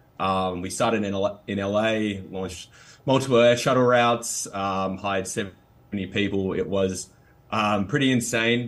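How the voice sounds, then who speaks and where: Speaking with an Australian accent, a man uses a fairly low pitch and ordinary pitch variation. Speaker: startup CEO. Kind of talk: interview conversation.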